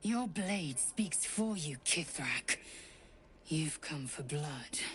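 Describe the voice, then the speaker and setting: A put-on character voice growls at a very slow pace with lively intonation. Clear background noise can be heard. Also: woman, very deep, low pitch for a woman. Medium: video game. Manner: harsh, clipped.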